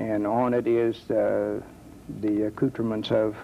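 Speaking in an American accent, a man keeps his voice at a mid pitch. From US Midwest, Dayton, Ohio. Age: 70s. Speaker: war veteran. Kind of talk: testimony.

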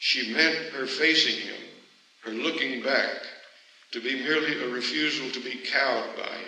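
Ordinary pitch variation within a natural reading voice.

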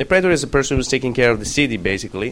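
A man's medium-pitched voice with an Italian accent and lively intonation. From Italy. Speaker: university lecturer on Roman history. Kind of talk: lecture. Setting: classroom with students. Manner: self-deprecating, humorous, laughs often.

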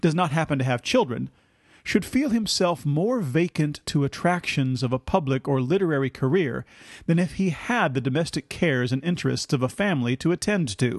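In an ordinary speaking voice, a man talks at a moderate pace with a fairly high pitch and lively intonation, recorded dry and close with no echo against a quiet background. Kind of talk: scripted narration of history, with quoted passages read aloud.

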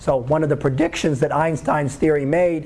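The speech moves at a moderate pace with fairly even intonation, and audible room echo surrounds it. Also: man. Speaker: college astronomy instructor. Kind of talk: lecture.

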